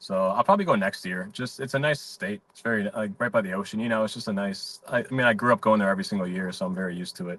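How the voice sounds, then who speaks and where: A man talks at a very fast pace in a Chicago accent, his pitch fairly low with ordinary variation. His tone is bright and sharp. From Chicago, South Side (Mount Greenwood). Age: 30s. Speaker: comedian. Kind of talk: casual chat. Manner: relaxed, filler-heavy.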